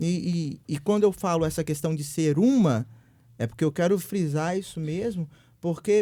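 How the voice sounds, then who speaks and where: In a Minas Gerais accent, a man with a high voice and a dark, mellow tone talks at a moderate pace with ordinary pitch variation, on a very clean recording with a silent background. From Brazil, Minas Gerais (Viçosa). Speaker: guest speaker. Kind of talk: podcast discussion.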